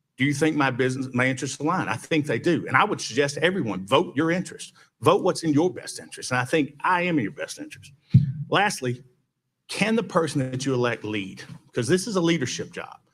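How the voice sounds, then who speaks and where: Speaking with a Southern US accent, a man talks at a very fast pace in a fairly high pitch with lively intonation. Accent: Southern US (Georgia). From US South, Villa Rica, Georgia. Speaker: mayoral candidate, lawyer. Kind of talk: campaign speech at candidate forum.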